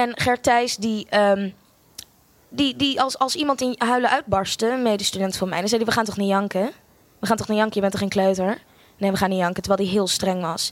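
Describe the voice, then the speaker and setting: A woman's fairly high-pitched voice at a fairly quick pace, with ordinary pitch variation. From Netherlands (Amsterdam) and Australia. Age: 20s. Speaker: storyteller. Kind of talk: live storytelling. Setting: stage with audience. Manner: animated.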